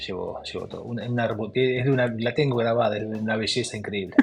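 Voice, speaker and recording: A man with an Argentine accent over noticeable background noise. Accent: Rioplatense Argentine Spanish. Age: 60s. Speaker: former footballer. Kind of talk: interview. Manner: hesitant, with repetitions.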